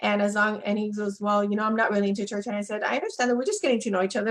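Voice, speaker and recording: A woman with a Spanish accent speaks at a very fast pace with hardly any pauses. Her pitch is fairly high and her intonation monotone and flat. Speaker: relationship coach. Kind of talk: live webinar interview. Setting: Facebook Live webinar.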